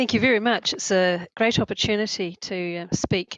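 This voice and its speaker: With a New Zealand accent, a woman talks at a moderate pace in a medium pitch, her intonation fairly even. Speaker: chief executive of an anti-corruption organization. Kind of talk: webinar presentation.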